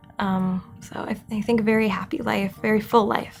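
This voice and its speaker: Music in the background behind a woman's medium-pitched voice, fairly slow in pace and fairly even in intonation. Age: 30s. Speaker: family therapist, brain injury patient. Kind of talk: interview answer.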